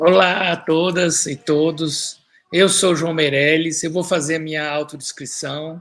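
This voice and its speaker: With music in the background, a man speaks with a fairly high pitch and fairly even intonation. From Brazil, São Paulo. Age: 60s. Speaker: author and environmentalist. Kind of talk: live stream talk. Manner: halting, many fillers.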